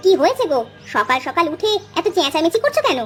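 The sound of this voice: A woman puts on a squeaky, cartoonish character voice at an extremely high pitch with very wide pitch swings. She moves at a fairly quick pace over clear background music.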